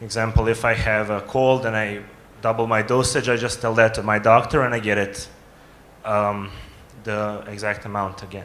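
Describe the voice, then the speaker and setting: At a moderate pace, a man talks in a fairly low pitch with a Croatian accent. His intonation is monotone and flat. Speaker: young diabetes advocate. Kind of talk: audience question at summit.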